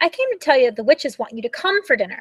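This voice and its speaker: On a very clean recording with a silent background, a woman does a put-on character voice at a high pitch, talking very fast with very wide pitch swings. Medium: read story. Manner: cawing.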